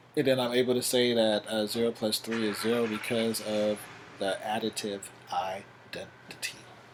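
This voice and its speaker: Noticeable background noise sits behind a man's medium-pitched voice. He speaks in a flat monotone. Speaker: math teacher. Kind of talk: lecture. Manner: fast.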